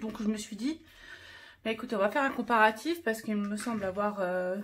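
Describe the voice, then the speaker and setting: Ordinary pitch variation and a moderate pace in a somewhat breathy voice. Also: woman. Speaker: craft YouTuber. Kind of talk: casual tutorial vlog. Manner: halting, many fillers.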